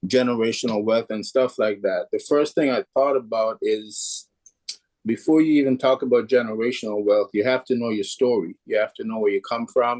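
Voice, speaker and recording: The sound is dry and close with no echo. A man with a medium pitch speaks in a normal speaking voice at a moderate pace with ordinary pitch variation. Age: 60s. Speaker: real estate agent and martial arts instructor. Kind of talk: interview.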